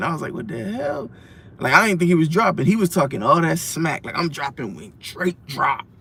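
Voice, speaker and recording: The speaker has vocal fry and uses lively intonation. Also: man. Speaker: music reviewer. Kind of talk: casual album review vlog. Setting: in a car. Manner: fast.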